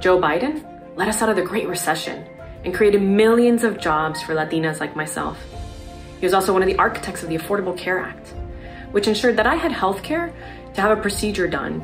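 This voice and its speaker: A very fast-talking woman with an American accent and ordinary pitch variation, clear music playing in the background. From Miami, Florida. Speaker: mother. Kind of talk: political advocacy testimonial. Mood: earnest, determined. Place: home room.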